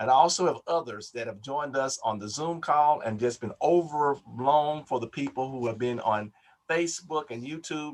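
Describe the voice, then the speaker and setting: This man has an ordinary speaking voice, pitched fairly high, with ordinary pitch variation. He talks at a moderate pace. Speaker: Baptist preacher, health program director. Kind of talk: webinar hosting announcements. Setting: video call webinar.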